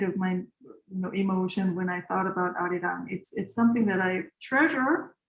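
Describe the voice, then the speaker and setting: A woman talks at a moderate pace, her somewhat breathy voice showing ordinary pitch variation. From South Korea. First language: Korean. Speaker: composer. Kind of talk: interview. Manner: halting.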